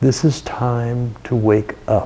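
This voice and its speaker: The delivery is very slow with monotone, flat intonation. Noticeable background noise runs underneath. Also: man. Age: 70s. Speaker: meditation teacher. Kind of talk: spiritual talk. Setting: live stream.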